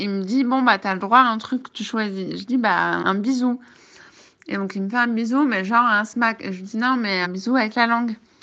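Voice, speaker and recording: The voice has a bright, sharp tone, ordinary pitch variation and a moderate pace, with a quiet background. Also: woman, fairly high pitch for a woman. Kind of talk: voice message. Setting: outdoors in a park, then at home. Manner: casual, hesitant.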